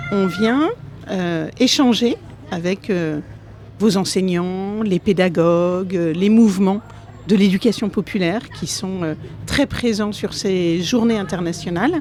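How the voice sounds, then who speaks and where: Over music in the background, a woman with a medium-pitched voice speaks at a very slow pace, leaving long, frequent pauses. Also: ordinary pitch variation. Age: 50s. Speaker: politician. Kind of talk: interview. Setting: conference event.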